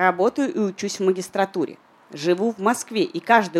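A woman speaks at a fairly quick pace and medium pitch in an unremarkable speaking voice, with a dry, close sound and no echo. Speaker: podcast host. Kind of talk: live podcast recording answering listener questions. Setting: bar with live audience.

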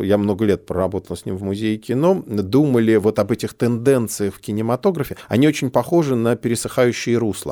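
Fairly quick speech from a man at medium pitch, dark and mellow in tone, with ordinary pitch variation, a very clean recording with a silent background, and a dry, close sound with no echo. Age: 40s. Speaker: film curator. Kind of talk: conversational film discussion. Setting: studio.

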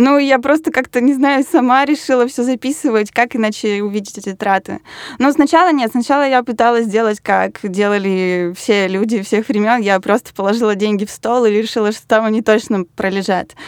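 Dry and close with no echo, the recording has a woman in an unremarkable speaking voice, pitched fairly high, talking at a moderate pace with ordinary pitch variation. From Russia, Yaroslavl. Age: 20s. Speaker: designer. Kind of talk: interview.

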